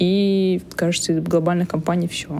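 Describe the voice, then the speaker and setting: A woman's fairly low voice with ordinary pitch variation at a moderate pace, amid noticeable background noise. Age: 30s. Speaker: iOS developer. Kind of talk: casual chat.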